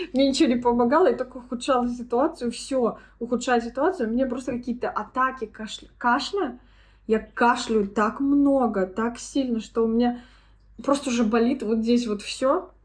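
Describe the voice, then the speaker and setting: A woman's high-pitched voice moves at a moderate pace, its pitch varying in an ordinary way. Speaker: vlogger. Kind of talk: casual vlog talk.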